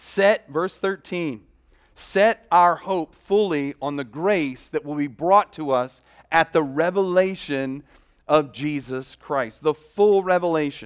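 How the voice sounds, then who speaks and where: Very slow and fairly high for a man, the voice has ordinary pitch variation and a dry, close sound with no echo on a very clean recording with a silent background. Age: 50s. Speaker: pastor. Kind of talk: sermon.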